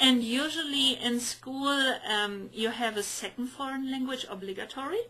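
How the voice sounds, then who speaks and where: A woman speaks at a moderate pace in a raised, projected voice with a German accent. Her pitch is high, with ordinary variation and hardly any pauses. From Germany. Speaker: podcast co-host. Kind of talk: casual chat. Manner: halting, many fillers.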